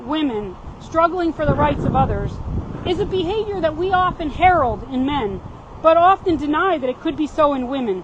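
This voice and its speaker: Lively intonation at a moderate pace, with noticeable background noise behind it. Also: woman. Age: 60s. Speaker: activist speaker. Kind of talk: prepared speech. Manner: reading aloud with stumbles.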